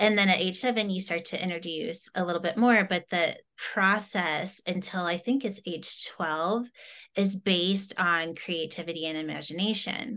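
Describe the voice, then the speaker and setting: Here is a woman with a normal speaking voice, medium in pitch with ordinary pitch variation. She keeps a moderate pace against a quiet background. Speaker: summit host. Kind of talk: casual interview.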